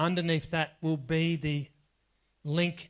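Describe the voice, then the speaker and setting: In a very clean recording with a silent background, a man talks at a very slow pace in a fairly high pitch. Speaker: workshop trainer. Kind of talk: workshop lecture.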